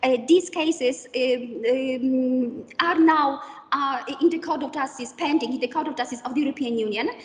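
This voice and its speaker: Over noticeable background noise, a woman with a Polish accent speaks at a moderate pace and a high pitch. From Poland, Kraków. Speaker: professor. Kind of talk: lecture. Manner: halting.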